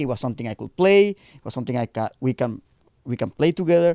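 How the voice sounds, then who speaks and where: Speaking with a Spanish accent at a very fast pace, the voice has a dark, mellow tone and very wide pitch swings, with a dry, close sound with no echo and a very clean recording against a silent background. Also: man. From Mexico. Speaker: punk band bassist. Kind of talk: casual podcast interview chat.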